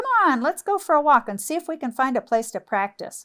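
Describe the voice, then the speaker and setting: The speaker performs a put-on character voice. The delivery moves at a fairly quick pace. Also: woman, high pitch for a woman. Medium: read story. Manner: brash, friendly.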